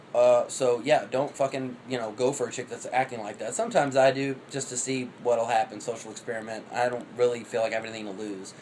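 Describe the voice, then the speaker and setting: Speaking at a very fast pace with hardly any pauses, a man with a medium pitch keeps fairly even intonation against noticeable background noise. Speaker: vlogger. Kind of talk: casual monologue. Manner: rapid like an auctioneer.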